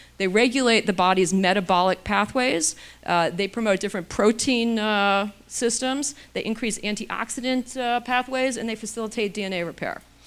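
A woman talks at a moderate pace. Her pitch is fairly high, with ordinary pitch variation. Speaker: physician and anti-aging author. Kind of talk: lecture. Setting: stage with audience. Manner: casual, humorous. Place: hall. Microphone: handheld.

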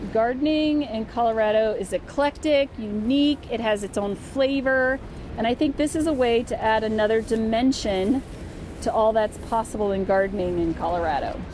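A woman's fairly high voice with ordinary pitch variation at a moderate pace, over noticeable background noise. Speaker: researcher. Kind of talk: explanatory interview on camera. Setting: outdoors on a rooftop.

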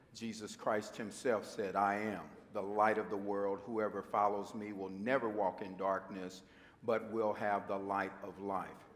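Here is a man with a fairly low pitch. His intonation is monotone and flat. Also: fairly slow pace. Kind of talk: worship welcome and announcements. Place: church. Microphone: podium.

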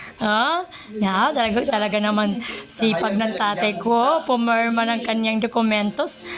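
Music in the background behind a woman at a moderate pace, her pitch fairly high with ordinary variation. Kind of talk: casual vlog narration to camera.

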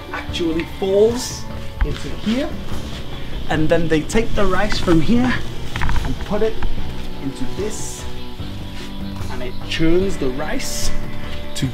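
Very slow speech with clear music in the background. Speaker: travel vlogger. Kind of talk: tour explanation to camera. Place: open country.

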